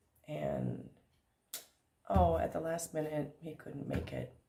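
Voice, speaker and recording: A woman speaks at a very slow pace. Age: 60s. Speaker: vlogger and theater director. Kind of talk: casual vlog.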